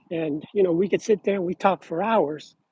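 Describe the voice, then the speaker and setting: In a dry, close recording with no echo, a man with a high pitch and a dark, mellow tone speaks at a fairly slow pace with ordinary pitch variation. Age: 60s. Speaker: card collector vlogger. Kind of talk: casual chat. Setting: outdoors. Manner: halting.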